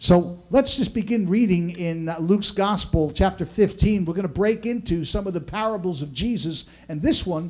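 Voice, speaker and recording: A man's high voice at a moderate pace with ordinary pitch variation. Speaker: pastor preaching. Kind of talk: sermon. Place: church.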